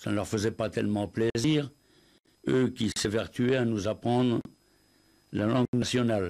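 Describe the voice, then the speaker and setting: With long, frequent pauses, a man speaks at a fairly slow pace and medium pitch with ordinary pitch variation, on a very clean recording with a silent background. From French Ardennes. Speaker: writer. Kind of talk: interview answer.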